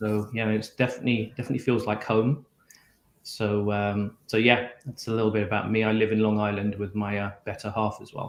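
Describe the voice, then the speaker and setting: A man with a British accent talks at a fairly quick pace in a fairly low pitch and a monotone, flat delivery, on a very clean recording with a silent background. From UK. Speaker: technology executive. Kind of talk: interview. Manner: hesitant, many ums.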